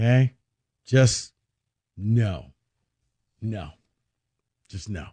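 A man speaks at a fairly low pitch, somewhat breathy, with ordinary pitch variation. The sound is dry and close, with no echo. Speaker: sports radio host. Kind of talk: sports talk radio with callers. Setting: studio. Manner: animated.

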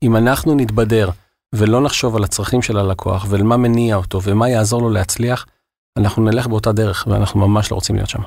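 A man with a plain, everyday voice speaks at a fairly quick pace, his fairly low pitch moving with fairly even intonation, on a very clean recording against a silent background. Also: very even loudness. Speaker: regional sales manager at a software company. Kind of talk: interview.

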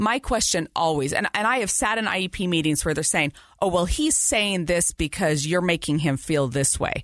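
Here is an ordinary speaking voice with lively intonation. The pace is moderate. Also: woman. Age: 40s. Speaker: podcast host and parent. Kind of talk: interview.

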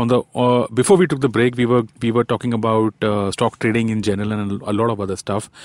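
The man speaks at a very fast pace. His voice sounds dry and close, with no echo. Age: 40s. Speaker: podcast host. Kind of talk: interview.

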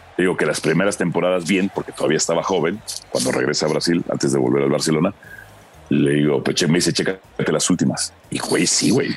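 A man speaks with a very deep, low pitch and ordinary pitch variation. His loudness is very even, with noticeable background noise. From Mexico. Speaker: football commentator and journalist. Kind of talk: casual chat.

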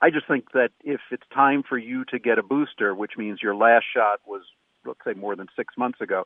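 The speaker is a man with an unremarkable speaking voice. His pitch is medium and his pace fairly quick. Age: 60s. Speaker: medical professor. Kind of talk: radio interview.

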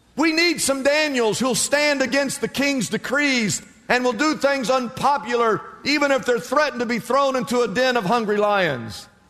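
Over noticeable background noise, a man with an extremely high-pitched voice speaks at a moderate pace, with ordinary pitch variation and very even loudness. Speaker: preacher. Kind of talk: sermon. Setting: church. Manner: animated; emphatic, rhetorical repetition.

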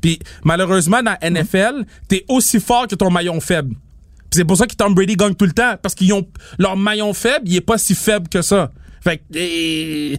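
This man has a Quebec accent and a high-pitched voice. He keeps a moderate pace with ordinary pitch variation. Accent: Québécois French. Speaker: podcast co-host and event promoter. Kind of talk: casual chat.

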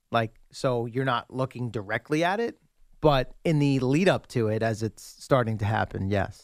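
A man talks at a moderate pace with ordinary pitch variation. It is a normal speaking voice on a very clean recording with a silent background. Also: medium pitch for a man, dry, close sound with no echo. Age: 30s. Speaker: sports radio co-host. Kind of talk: casual chat.

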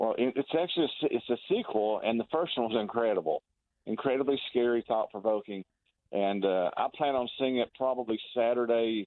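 This man has a plain, everyday voice at a medium pitch, moving at a moderate pace. His loudness stays very even, with ordinary pitch variation. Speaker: pop culture commentator. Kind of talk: casual radio talk. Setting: phone call.

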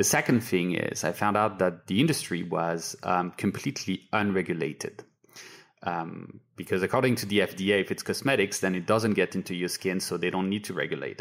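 Very deep, low pitch from a man with a French accent, fairly quick pace and ordinary pitch variation. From France. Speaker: beauty retail founder. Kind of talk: interview. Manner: hesitant, many fillers.

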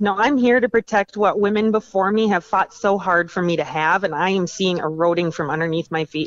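A woman with an unremarkable speaking voice and medium pitch, ordinary pitch variation, a fairly quick pace and hardly any pauses, in a dry, close sound with no echo. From Minnesota. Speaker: advocacy group founder, powerlifter. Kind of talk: interview.

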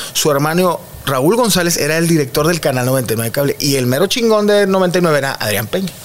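A man talks at a moderate pace with a fairly high pitch. Noticeable background noise runs under his voice. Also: lively intonation. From Monterrey, northern Mexico. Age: 30s. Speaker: comedian. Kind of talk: casual chat.

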